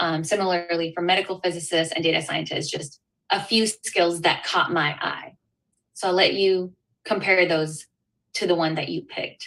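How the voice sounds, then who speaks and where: A woman speaks at a moderate pace with fairly even intonation. Her pitch sits fairly low. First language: not English. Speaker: workshop facilitator. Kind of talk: interactive workshop.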